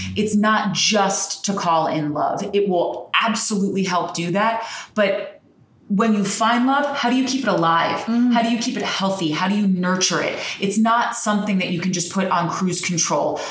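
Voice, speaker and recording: A woman with an American accent speaks at a moderate pace and medium pitch, with an animated tone, ordinary pitch variation and very even loudness, against noticeable background noise. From New Jersey. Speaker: crystal shop owner. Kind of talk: casual chat interview. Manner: talkative, animated.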